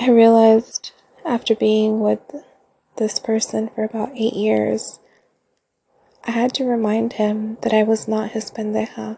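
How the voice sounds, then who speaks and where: A woman speaks at a fairly slow pace with long, frequent pauses, her fairly high voice dark, mellow and somewhat breathy, in a monotone, flat intonation. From California Central Coast. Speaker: podcast host. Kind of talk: solo monologue. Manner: scripted, read-aloud.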